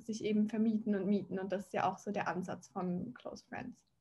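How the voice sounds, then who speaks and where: A woman's somewhat breathy, fairly high-pitched voice in a monotone, flat intonation. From Switzerland, near Zurich. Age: 20s. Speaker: fashion startup founder. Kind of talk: interview.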